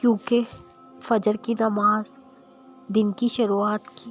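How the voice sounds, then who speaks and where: A woman's fairly high, monotone, flat delivery, dry and close with no echo, with music in the background. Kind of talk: Islamic motivational quotes narration.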